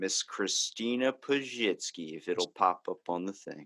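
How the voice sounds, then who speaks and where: A man with a Baltimore accent is heard on a very clean recording with a silent background. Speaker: comedy podcast host, guest. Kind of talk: casual chat.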